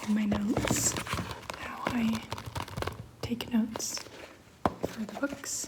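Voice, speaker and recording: The soft-spoken voice moves at a very slow pace against noticeable background noise. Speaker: ASMR creator, book club member. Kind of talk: ASMR soft-spoken talk to camera.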